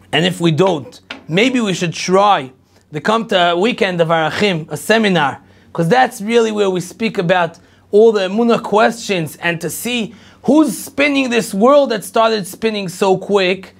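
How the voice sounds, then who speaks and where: On a very clean recording with a silent background, a man talks in an Israeli accent. His voice is high in pitch with ordinary pitch variation, at a moderate pace. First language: Hebrew. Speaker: rabbi, lecturer. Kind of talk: lecture.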